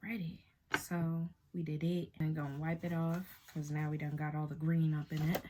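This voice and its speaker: A woman with an American accent, very deep and low in pitch, at a moderate pace, somewhat breathy, with a dark, mellow tone and monotone, flat intonation. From Boston, Massachusetts. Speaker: beauty YouTuber. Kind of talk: makeup tutorial. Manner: casual, chatty.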